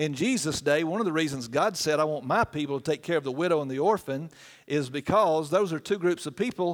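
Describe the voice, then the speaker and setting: A man with a Southern US accent speaks at a fairly high pitch. His pitch varies in an ordinary way. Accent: US South. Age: 50s. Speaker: guest preacher for a children's charity. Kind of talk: sermon. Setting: church.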